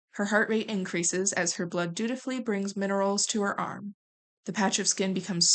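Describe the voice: The clip is plain reading aloud with a quiet background.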